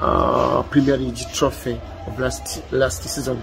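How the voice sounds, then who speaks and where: A man talks at a fairly slow pace with a Ugandan accent. Music plays behind him, and the room echoes audibly. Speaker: football commentator. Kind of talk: football opinion monologue. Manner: halting, with hesitations and repeats.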